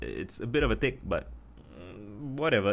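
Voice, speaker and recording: A man with a Singaporean accent and vocal fry. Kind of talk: casual talk to camera.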